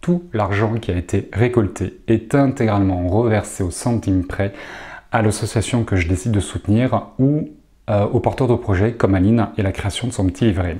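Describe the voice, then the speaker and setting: A man's fairly low, somewhat breathy voice with a dark, mellow tone, ordinary pitch variation, very even loudness, and moderate pace, in a very clean recording with a silent background. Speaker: association founder. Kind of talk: video report to supporters.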